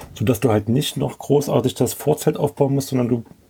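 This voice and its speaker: A somewhat breathy man of medium pitch at a moderate pace, with fairly even intonation. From Leipzig area, Saxony. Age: 40s. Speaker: camper. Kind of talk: casual chat.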